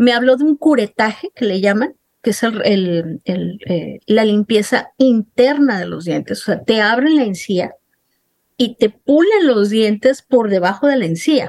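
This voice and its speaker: A woman with a plain, everyday voice and a fairly high pitch talks at a fairly slow pace, recorded with a dry, close sound with no echo. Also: lively intonation. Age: 50s. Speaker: journalist sharing her dental ordeal. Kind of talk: interview testimony.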